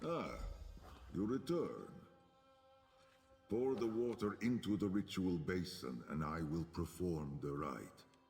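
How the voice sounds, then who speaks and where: In a put-on character voice, a man speaks with very deep, low pitch and a solemn tone at a fairly slow pace, with long, frequent pauses and a clear echo. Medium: video game. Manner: solemn, measured, formal.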